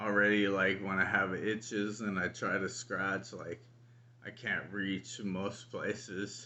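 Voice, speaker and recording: A man mumbles in a flat monotone at a fairly low pitch. His pace is very slow. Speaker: vlogger with ALS. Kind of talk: personal video diary. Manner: mumbling.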